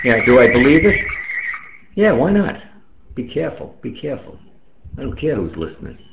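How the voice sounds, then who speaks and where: A man with a fairly high pitch speaks at a fairly quick pace, broken by long, frequent pauses, with very wide pitch swings and big swings in loudness, all over noticeable background noise and audible room echo. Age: 60s. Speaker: amateur radio operator. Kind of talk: casual chat. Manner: animated.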